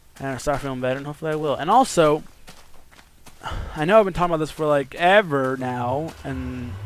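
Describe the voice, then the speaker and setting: Over noticeable background noise, a man talks very fast in a fairly high voice. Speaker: YouTuber. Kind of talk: casual vlog talk. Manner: halting.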